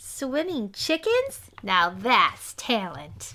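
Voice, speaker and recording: A woman does a put-on character voice, high in pitch and delivered at a very slow pace. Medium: read story.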